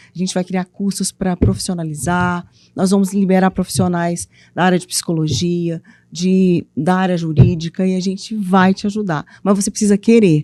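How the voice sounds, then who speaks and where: A woman with a Minas Gerais accent talks at a moderate pace in a medium pitch, her tone dark and mellow, the sound dry and close with no echo. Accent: mineiro accent, noticeable. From Minas Gerais, Brazil (eastern region, Ipatinga). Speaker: author and women's mentor. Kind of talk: interview conversation. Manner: animated, playful.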